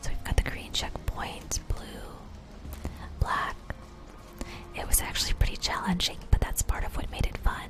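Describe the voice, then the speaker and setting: A woman whispering at a moderate pace in a relaxed tone, with noticeable background noise. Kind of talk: soft-spoken ASMR gameplay commentary. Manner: soft-spoken, relaxed.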